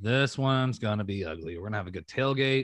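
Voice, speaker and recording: A man uses a plain, everyday voice, fairly low-pitched with lively intonation, over a quiet background. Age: 30s. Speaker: fan podcast panelist. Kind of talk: casual chat.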